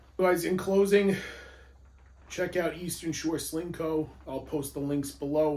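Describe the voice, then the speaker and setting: A man with fairly even intonation and long, frequent pauses, set in audible room echo. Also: fairly high pitch for a man, fairly slow pace. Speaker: police firearms instructor, gear reviewer. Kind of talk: product review video. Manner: casual, conversational.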